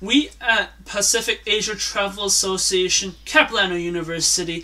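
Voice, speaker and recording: A man speaks at a moderate pace. His voice is raised and projected. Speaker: presenter. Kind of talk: school presentation. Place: home room. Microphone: phone near.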